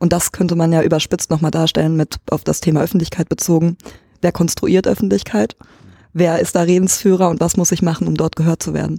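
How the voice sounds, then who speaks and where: A woman speaks fairly quickly in a fairly low, dark, mellow voice with vocal fry and fairly even intonation, the sound dry and close with no echo. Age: 20s. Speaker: student. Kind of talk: casual discussion. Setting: room with open windows.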